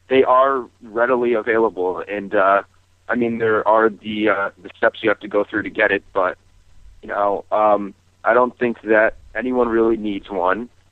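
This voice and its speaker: A man speaks at a moderate pace with fairly even intonation. The sound is dry with no echo, over a quiet background. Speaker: radio caller. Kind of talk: call-in discussion. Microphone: phone line.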